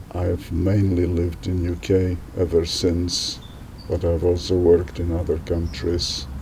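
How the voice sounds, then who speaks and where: A man's very deep, low voice at a fairly slow pace, fairly even in intonation, with audible room echo and noticeable background noise. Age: 80s+. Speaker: retired doctor. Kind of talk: interview.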